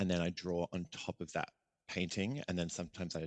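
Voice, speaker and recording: A man with an Australian accent speaks at a very deep, low pitch. The sound is dry and close with no echo, over a quiet background. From Australia, Adelaide. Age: 30s. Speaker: visual artist and performer. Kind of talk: podcast interview. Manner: casual, hesitant with many fillers.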